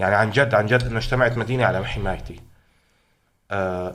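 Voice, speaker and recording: A man's fairly quick speech with audible room echo. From Syria, Hama. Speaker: protest chant singer. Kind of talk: interview. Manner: animated.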